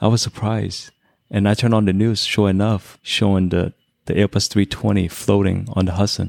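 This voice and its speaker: In a Chinese accent, a man talks at a fairly quick pace with a fairly low pitch and monotone, flat intonation, in a very clean recording with a silent background. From China, immigrated to US at ten. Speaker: airline pilot, Navy veteran. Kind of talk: casual chat.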